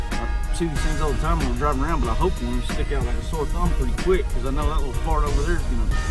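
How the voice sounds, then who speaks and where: Loud music plays in the background as a man talks in a dry sound with no echo. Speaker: hunting guide. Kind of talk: casual vlog chat. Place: car. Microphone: phone near.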